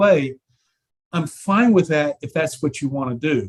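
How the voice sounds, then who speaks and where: At a moderate pace, a man with fairly high pitch and lively intonation talks in an ordinary speaking voice. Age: 60s. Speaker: prosthetics practitioner and life coach. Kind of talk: casual chat.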